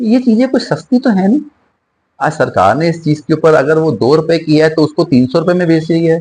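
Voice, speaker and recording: Here is a man with an unremarkable speaking voice, pitched fairly high. His intonation is lively while his loudness stays very even. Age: 60s. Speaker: singer and spiritual speaker. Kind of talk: interview.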